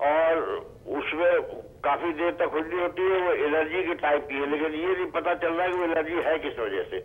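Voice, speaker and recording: The man's voice sits high in pitch with fairly even intonation. His pace is moderate. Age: 70s. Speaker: caller. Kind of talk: phone-in health question. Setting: phone call.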